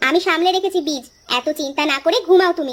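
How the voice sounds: Here is a squeaky, cartoonish character voice. It runs at a moderate pace. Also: woman, extremely high pitch for a woman.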